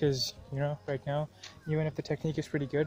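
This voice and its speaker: Over music in the background, a man talks at a very fast pace in a dry sound with no echo. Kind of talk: casual vlog chat. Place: open country. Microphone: earbuds.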